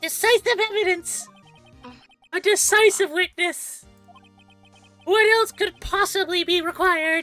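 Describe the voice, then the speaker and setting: An extremely high-pitched, put-on character voice speaks at a fairly slow pace with long, frequent pauses. Faint music sits in the background. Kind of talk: formal, courtroom. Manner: pompous, dramatic.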